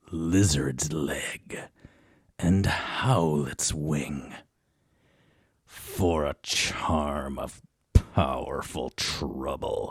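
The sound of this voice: A man puts on a character voice pitched extremely low, with a slightly husky edge. He speaks at a very slow pace with fairly even intonation.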